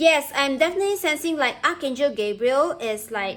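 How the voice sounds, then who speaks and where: A non-native accent at a moderate pace. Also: woman. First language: not English. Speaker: tarot reader. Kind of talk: tarot reading. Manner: halting.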